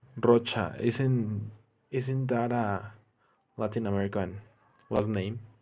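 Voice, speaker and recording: A man with a Spanish accent speaks at a very slow pace and fairly low pitch, with a dark, mellow tone. His intonation is monotone and flat, with long, frequent pauses. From Mexico. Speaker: gaming streamer. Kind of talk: live gameplay stream chat. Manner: halting, self-correcting. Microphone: bad microphone.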